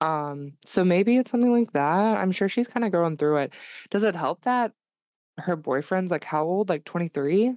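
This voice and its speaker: A woman with a normal speaking voice talks at a fairly low pitch and a moderate pace, with lively intonation. Her loudness stays very even, and the sound is dry and close with no echo. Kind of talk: casual chat.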